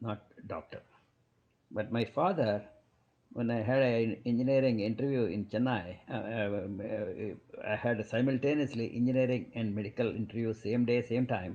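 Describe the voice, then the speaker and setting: A man speaks with fairly even intonation. His tone is dark and mellow. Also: medium pitch for a man, moderate pace. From South India. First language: Kannada. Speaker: physician. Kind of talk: podcast interview. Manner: halting.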